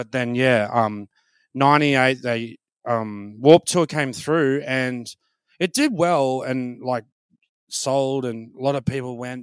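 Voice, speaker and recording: In an Australian accent, a man talks at a fairly slow pace with fairly even intonation, the sound dry and close with no echo and the recording very clean over a silent background. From Brisbane, Australia. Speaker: comedian. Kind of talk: casual interview chat. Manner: halting, many fillers and repeats.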